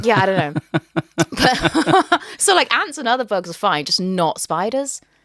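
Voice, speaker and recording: The pitch swings very widely as the words come at a fairly slow pace, with a dry, close sound and no echo. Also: woman, medium pitch for a woman. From West Midlands, England (Shirley, near Birmingham). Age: 30s. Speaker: comedian. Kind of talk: casual chat.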